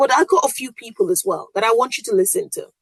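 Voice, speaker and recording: A woman with a Yoruba accent talks at a fairly quick pace in an animated tone, using ordinary pitch variation, the sound dry and close with no echo. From Nigeria (Yoruba). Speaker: podcast host. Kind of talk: casual monologue.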